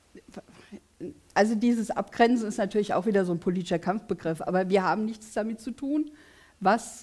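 A woman's fairly high voice carries a dark, mellow tone and is somewhat breathy. Her pitch varies in an ordinary way against a quiet background. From Königstetten, Hesse; Hesse. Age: 50s. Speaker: politician. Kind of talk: election debate. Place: studio.

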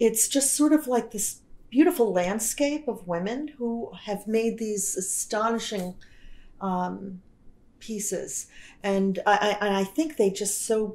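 A woman speaks with a fairly high pitch and ordinary pitch variation. She has a plain, everyday voice. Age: 60s. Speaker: film festival director and retired professor. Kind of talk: casual chat. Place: home room.

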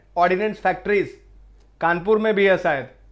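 A man's high-pitched voice at a moderate pace, with ordinary pitch variation against a quiet background. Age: 30s. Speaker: online exam-prep teacher. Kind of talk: lecture.

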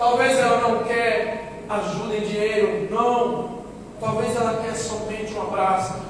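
A man speaks at a high pitch and a fairly slow pace. Strong room echo and noticeable background noise fill the recording. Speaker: preacher. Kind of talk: sermon to a live congregation, fervent preaching with calls for response. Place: stage.

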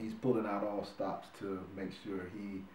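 A man with an American accent talks at a fairly low pitch with fairly even intonation. Noticeable background noise sits behind his voice. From North Carolina, Wilmington. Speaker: actor. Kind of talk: casual interview. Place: home room.

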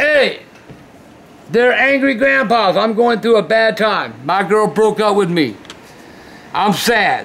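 A man speaks at a very slow pace. His loudness stays very even and his pitch varies in an ordinary way. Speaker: video host. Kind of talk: reading fan mail aloud. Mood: warm, amused. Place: home room.

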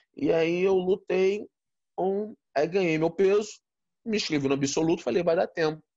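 A man talks at a moderate pace in a high pitch with a dark, mellow tone. His pitch varies in an ordinary way, his loudness stays very even, and the background is quiet. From Brazil. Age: 40s. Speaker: interview guest, martial arts coach. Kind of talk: interview, personal storytelling. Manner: halting, many repetitions. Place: home room. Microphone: phone near.

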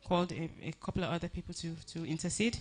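Speaking at a fairly quick pace, a woman keeps a fairly low pitch and fairly even intonation. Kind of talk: eulogy tribute speech. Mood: emotional, earnest, grateful. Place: hall. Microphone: handheld.

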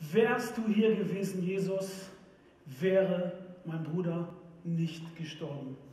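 With audible room echo, a man speaks at a very slow pace and a high pitch, using ordinary pitch variation. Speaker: preacher. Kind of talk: church sermon. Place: stage.

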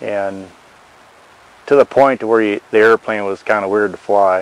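A man's fairly low voice in a monotone, flat intonation, with a dry sound and no echo. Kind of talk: interview answer. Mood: relaxed, matter-of-fact. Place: open country. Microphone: lapel.

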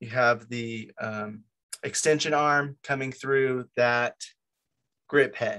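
A man talks with fairly even intonation over a quiet background. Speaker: meeting host presenting gear. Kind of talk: informal lecture. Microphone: video call.

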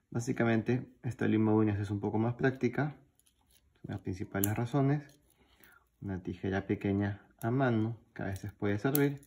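A dark, mellow tone at a moderate pace, with ordinary pitch variation and long, frequent pauses. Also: man, fairly low pitch for a man. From Peru. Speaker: YouTuber, pocket knife collector; YouTuber. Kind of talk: show-and-tell video.

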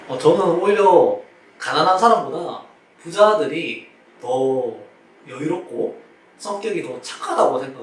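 A man at a fairly slow pace, with long, frequent pauses, big swings in loudness and noticeable background noise. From Daegu, South Korea. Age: 20s. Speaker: PE teacher. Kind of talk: interview answer. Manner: cheerful.

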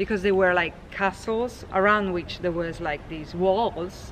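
A woman speaks fairly slowly against noticeable background noise. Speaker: local tour guide. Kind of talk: casual guided explanation. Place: street. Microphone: phone near.

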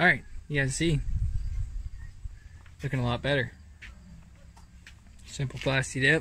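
In a room with audible echo, a man of medium pitch speaks at a fairly slow pace with a bright, sharp tone and fairly even intonation.

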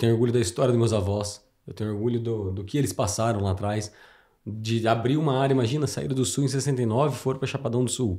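A man speaks at a very fast pace and medium pitch in a dark, mellow, somewhat breathy tone with ordinary pitch variation. The recording is very clean, with a silent background. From Mato Grosso do Sul, Brazil. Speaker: farmer. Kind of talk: casual chat.

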